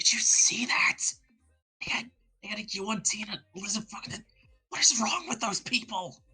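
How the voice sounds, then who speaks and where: Whispering in a put-on character voice, the speaker keeps a moderate pace broken by long, frequent pauses. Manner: whispering, scandalized.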